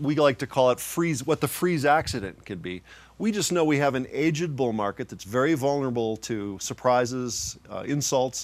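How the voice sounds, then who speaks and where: At a moderate pace, a man with an unremarkable speaking voice and medium pitch speaks with lively intonation on a very clean recording with a silent background. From Colorado (Arvada, near Denver). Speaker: investment advisor. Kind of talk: casual interview.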